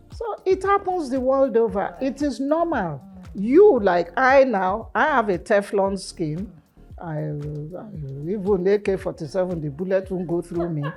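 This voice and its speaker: Over music in the background, a woman speaks at a fairly slow pace in a medium pitch with very wide pitch swings. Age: 70s. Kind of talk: interview answer.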